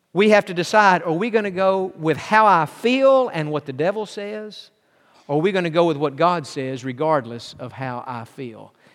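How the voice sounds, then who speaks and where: A man's high voice at a moderate pace, with very wide pitch swings and big swings in loudness. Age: 40s. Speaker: pastor. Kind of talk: sermon.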